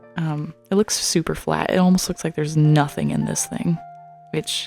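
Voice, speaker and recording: A woman with a very deep, low pitch and a gentle tone speaks at a fairly quick pace over music in the background. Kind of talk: ASMR unboxing haul, casual talk to camera. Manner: soft-spoken, gentle, chatty.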